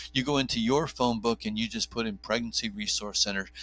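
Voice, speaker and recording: Music plays in the background as a man speaks with an American accent. His intonation stays fairly even. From New Jersey. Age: 50s. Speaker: OB/GYN doctor and pro-life advocate. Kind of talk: podcast interview.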